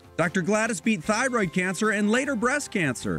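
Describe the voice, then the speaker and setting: Over background music, a man talks at a moderate pace in a high voice. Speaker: TV news reporter. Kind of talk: TV news feature narration.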